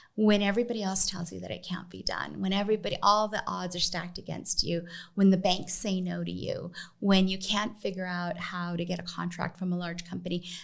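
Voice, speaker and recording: A woman talks at a fairly quick pace with vocal fry. Her intonation stays fairly even. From US West, East Los Angeles. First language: Spanish. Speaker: business association executive. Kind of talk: podcast interview.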